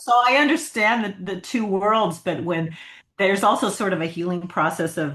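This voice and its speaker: In an American accent, a woman with a plain, everyday voice talks at a moderate pace and medium pitch, her intonation lively. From US. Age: 60s. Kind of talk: casual interview.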